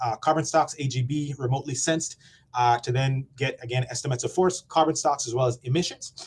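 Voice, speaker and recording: A somewhat breathy man's voice, fairly high in pitch, with fairly even intonation. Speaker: program presenter at forest monitoring webinar. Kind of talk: conference presentation. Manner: fast.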